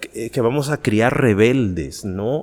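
A man speaking with lively intonation. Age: 40s. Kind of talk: podcast interview.

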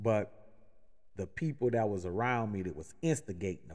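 A man with an unremarkable speaking voice and an American accent talks at a moderate pace, at a medium pitch with ordinary pitch variation. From New Orleans, Louisiana, US South. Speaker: podcast host, sales manager. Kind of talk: motivational talk.

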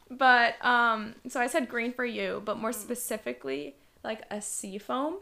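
Speaking fairly slowly with a bright, sharp tone, a woman with an American accent uses lively intonation and vocal fry at a fairly high pitch. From New York City, Queens. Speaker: podcast co-host. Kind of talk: casual chat.

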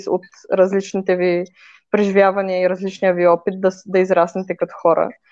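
The background stays quiet. A woman's voice comes through with a dark, mellow tone. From Bulgaria, Varna. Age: 20s. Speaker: filmmaker and video creator. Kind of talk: personal story interview.

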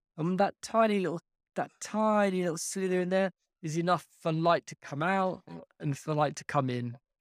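With an English accent, a man speaks at a high pitch and moderate pace with ordinary pitch variation and big swings in loudness, in a dry, close sound with no echo. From UK. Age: 40s. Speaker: life coach and juggler. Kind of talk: casual chat.

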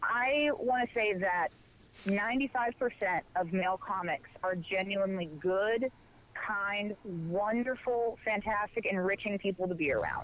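Ordinary pitch variation, a very slow pace and very even loudness. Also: woman, medium pitch for a woman. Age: 20s. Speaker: comedian. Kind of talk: casual chat.

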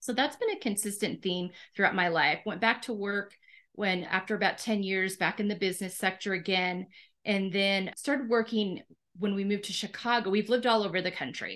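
A woman has an ordinary speaking voice at medium pitch, moving at a fairly quick pace with fairly even intonation. The background is quiet. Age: 50s. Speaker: podcast host. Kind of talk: interview.

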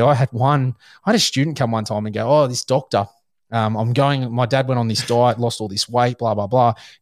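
A man speaks at a fairly quick pace. His voice is medium in pitch, with fairly even intonation. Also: dry, close sound with no echo. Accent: Australian. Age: 40s. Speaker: hunting podcast host. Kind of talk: casual chat.

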